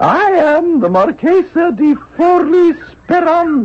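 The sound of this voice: A man puts on a squeaky character voice in falsetto, extremely high in pitch. He talks at a fairly slow pace.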